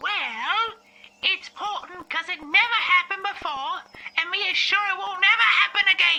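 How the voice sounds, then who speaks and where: A woman puts on a character voice at an extremely high pitch, talking at a moderate speed. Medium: audio drama. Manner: emphatic, gossipy, self-assured.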